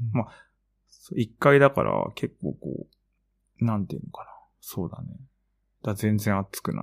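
Here a man with vocal fry and a fairly low pitch talks at a moderate pace, with lively intonation, big swings in loudness and long, frequent pauses. The sound is dry and close, with no echo. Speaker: podcast co-host, art practitioner. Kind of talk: casual chat.

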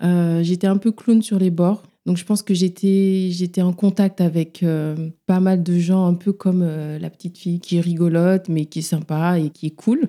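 A woman's fairly low, dark, mellow voice, monotone and flat, at a fairly slow pace. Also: hardly any pauses. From Senegal, Dakar. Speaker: psychologist and sexologist. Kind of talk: interview.

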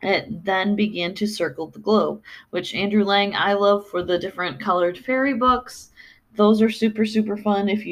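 Here is a natural reading voice. The intonation stays fairly even.

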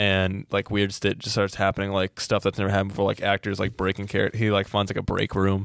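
Over a silent background in a very clean recording, a man talks at a very fast pace with hardly any pauses, monotone, flat intonation and very even loudness, the sound dry and close with no echo. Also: fairly low pitch for a man. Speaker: podcast host. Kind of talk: casual chat.

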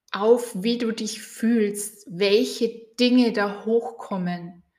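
Very slowly, a woman speaks at a fairly high pitch. Her intonation is monotone and flat. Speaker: coach and podcast host. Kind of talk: guided meditation. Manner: calm, slow, soothing, with gentle pauses.

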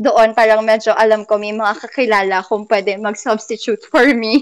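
A woman with an ordinary speaking voice, fairly high in pitch, talks at a fairly slow pace on a very clean recording with a silent background. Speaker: musical theater performer and music teacher. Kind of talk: interview.

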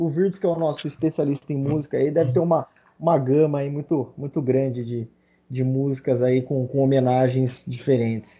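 A man with an ordinary speaking voice talks at a moderate pace, his fairly high pitch held in a fairly even intonation. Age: 30s. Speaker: podcast host. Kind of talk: casual chat.

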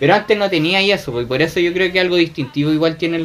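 A man talking at a very fast pace, high in pitch. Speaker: columnist and author on anime. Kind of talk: casual chat.

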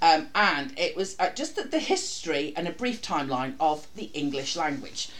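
A woman's fairly low voice with very wide pitch swings and hardly any pauses, plus audible room echo and noticeable background noise. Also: moderate pace. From North East England. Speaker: podcast host. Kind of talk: casual chat.

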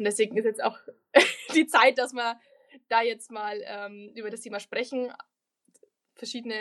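A woman's fairly high voice, moderate pace, fairly even intonation. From Lower Bavaria, Germany. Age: 20s. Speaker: local politician and student. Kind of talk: podcast interview.

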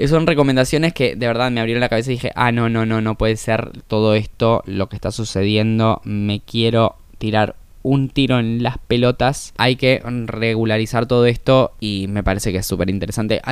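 A man at medium pitch and moderate pace, in a very clean recording with a silent background. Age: 20s. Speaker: podcaster. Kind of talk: casual monologue. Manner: animated.

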